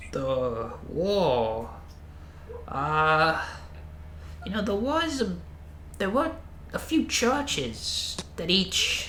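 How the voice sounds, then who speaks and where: A man performs a put-on character voice. Background noise is clearly audible. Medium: actual play. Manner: gentle, calls others "dear".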